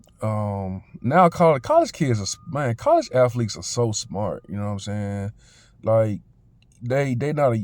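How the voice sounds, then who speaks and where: In an American accent, the speaker goes at a fairly slow pace with ordinary pitch variation on a very clean recording with a silent background. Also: man. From Memphis, Tennessee (US South). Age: 30s. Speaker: vlogger. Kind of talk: testimony. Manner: casual, halting with many fillers.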